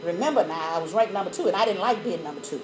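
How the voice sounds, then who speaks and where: Over noticeable background noise, a woman with an American accent speaks in an animated tone. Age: 60s. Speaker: mathematics educator. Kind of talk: lecture.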